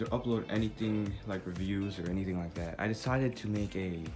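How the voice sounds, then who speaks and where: A soft-spoken man with a fairly low pitch talks at a moderate pace while music plays in the background. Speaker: toy collector, video maker. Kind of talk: casual talk to camera. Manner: quiet, soft-spoken.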